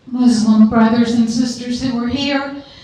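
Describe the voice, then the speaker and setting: The voice carries a Southern US accent and a monotone, flat intonation. Audible room echo and noticeable background noise fill the recording. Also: woman. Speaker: audience member. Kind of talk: audience question.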